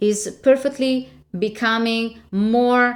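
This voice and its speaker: An unremarkable speaking voice from a woman, pitched fairly high and varying in pitch in an ordinary way. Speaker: voice coach. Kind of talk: casual talk to camera.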